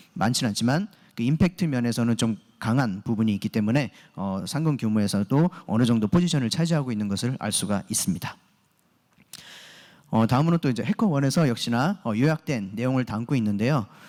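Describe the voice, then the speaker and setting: The man's voice sits at a medium pitch with lively intonation. He speaks at a fairly quick pace. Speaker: security engineer and conference speaker. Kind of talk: conference presentation. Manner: fast, hurried; frequent filler 'eo' hesitations.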